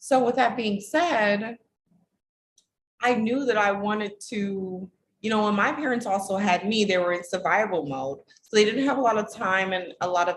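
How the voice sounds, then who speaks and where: A woman's somewhat breathy voice carries lively intonation at medium pitch and a moderate pace. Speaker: relationship coach. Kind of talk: casual vlog talk to camera.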